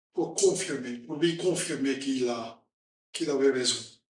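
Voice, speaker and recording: A man speaks at a very slow pace with audible room echo around him. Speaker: preacher. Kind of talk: sermon. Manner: halting.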